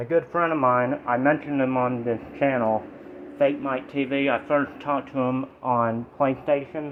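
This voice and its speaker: Noticeable background noise lies under a man's medium-pitched voice. He speaks at a moderate pace with monotone, flat intonation. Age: 20s. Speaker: vape reviewer and card game YouTuber. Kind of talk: casual product review vlog. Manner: casual, rambling speech with restarts.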